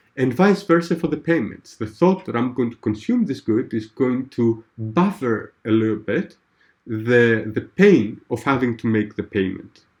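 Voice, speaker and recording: The speaker uses lively intonation at a fairly slow pace. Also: man, medium pitch for a man. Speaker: tutor. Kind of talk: one-on-one tutoring lesson. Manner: hesitant, many fillers; slow, deliberate explanation.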